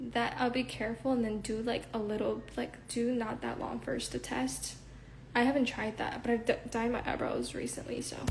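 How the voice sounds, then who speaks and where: Noticeable background noise and audible room echo fill the recording. Through them, a woman talks at a moderate pace. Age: 20s. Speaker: livestreamer and idol hopeful. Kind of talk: casual chat. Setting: Instagram live stream. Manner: filler-heavy, frequent 'like'.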